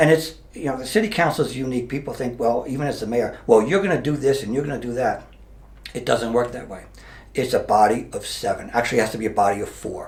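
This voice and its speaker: A man with an American accent speaks very fast at a medium pitch, somewhat breathy, with ordinary pitch variation and audible room echo. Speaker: mayor, retired police officer. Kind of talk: interview. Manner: halting.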